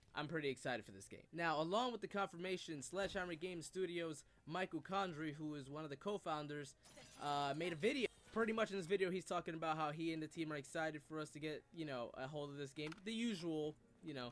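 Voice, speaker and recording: Over light background noise, a man talks very fast with ordinary pitch variation. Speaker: gaming youtuber. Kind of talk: casual gaming news commentary.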